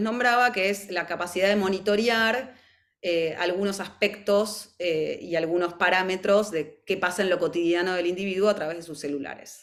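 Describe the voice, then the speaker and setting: At a moderate pace, a woman speaks in a plain, everyday voice at a medium pitch. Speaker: mental health professional presenter. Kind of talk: webinar presentation.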